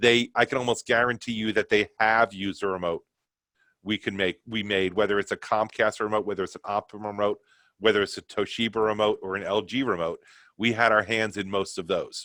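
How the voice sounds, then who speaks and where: A bright, sharp tone in a New York accent, fairly quick in pace, monotone and flat in intonation, with a dry, close sound with no echo. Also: man, fairly low pitch for a man. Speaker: company sales presenter. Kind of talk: product webinar presentation. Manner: fast.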